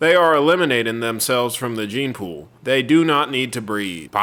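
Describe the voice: This is plain reading aloud. Nothing else is marked.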